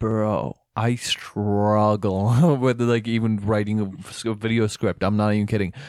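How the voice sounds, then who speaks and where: A man with a plain, everyday voice talks fairly slowly at a fairly low pitch, his intonation fairly even. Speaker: podcast host. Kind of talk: casual chat.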